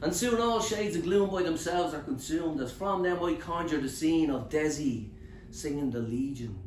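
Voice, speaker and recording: Background noise is noticeable as the speaker keeps a moderate pace and a lively intonation. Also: man, fairly high pitch for a man. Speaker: spoken word poet. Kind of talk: live poetry performance. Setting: bookshop open mic.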